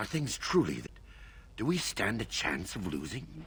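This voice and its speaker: A man performs a put-on character voice over clear background noise. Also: moderate pace. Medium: video game. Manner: blunt, coarse.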